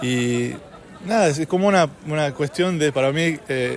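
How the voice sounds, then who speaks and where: With an Argentine accent, a man speaks at a fairly slow pace with ordinary pitch variation amid noticeable background noise. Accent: native-like Argentine Spanish. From California. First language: English (speaking Spanish). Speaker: polyglot. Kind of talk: interview. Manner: halting, many fillers.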